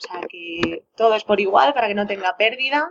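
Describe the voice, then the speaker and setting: A woman speaks in a normal speaking voice at medium pitch and a moderate pace. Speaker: singer-songwriter. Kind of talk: interview.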